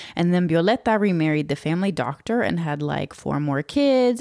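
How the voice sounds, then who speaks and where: A woman speaks at a fairly quick pace with a very deep, low pitch and lively intonation, on a very clean recording with a silent background. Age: 30s. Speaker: podcast host and storyteller. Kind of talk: personal storytelling monologue. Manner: casual, conversational.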